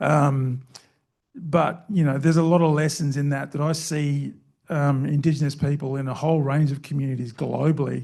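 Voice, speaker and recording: Delivering in a monotone, flat intonation at a moderate pace, a man with an Australian accent has a fairly high pitch and a dark, mellow tone. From Queensland, Australia. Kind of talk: panel discussion. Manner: halting, many fillers.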